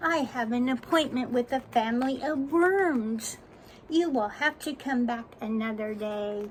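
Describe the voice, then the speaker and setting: A woman in a put-on character voice with a high pitch, at a fairly slow pace, over clear background noise. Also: ordinary pitch variation. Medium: read story. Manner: formal, proper.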